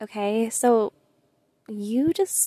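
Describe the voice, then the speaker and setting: A woman with a fairly high pitch and ordinary pitch variation is heard in a dry, close sound with no echo. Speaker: podcast host, solo monologue. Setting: car. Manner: casual, chatty, sometimes brash.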